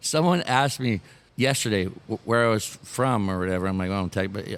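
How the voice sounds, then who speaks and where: A man with a slight Canadian accent, fairly low pitch, lively intonation and a fairly quick pace. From Canada. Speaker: former fighter. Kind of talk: casual chat.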